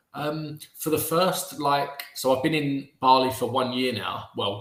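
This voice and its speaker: A man with a British accent speaks at a fairly slow pace in a fairly high pitch. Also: hardly any pauses. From England. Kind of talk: interview answer. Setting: video call.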